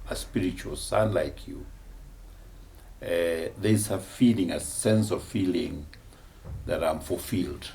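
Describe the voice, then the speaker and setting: A man speaks with audible room echo. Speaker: bishop. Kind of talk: testimony.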